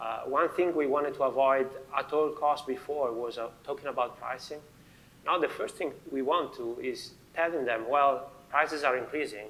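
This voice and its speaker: A man speaks at a moderate pace in an Italian accent. His pitch sits fairly high and varies in an ordinary way. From Italy. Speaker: finance manager. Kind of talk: panel discussion.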